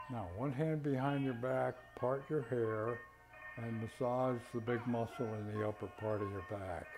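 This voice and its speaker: Music plays in the background as a man talks at a fairly slow pace. His pitch is medium, with ordinary variation. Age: 80s+. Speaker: qigong and tai chi instructor. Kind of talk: exercise class instruction.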